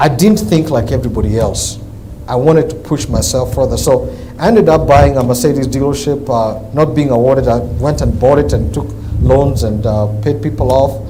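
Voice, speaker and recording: A man with an African accent speaks fairly quickly at a medium pitch, his intonation lively. Noticeable background noise and audible room echo fill the recording. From Kenya. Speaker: businessman, car dealer. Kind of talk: interview.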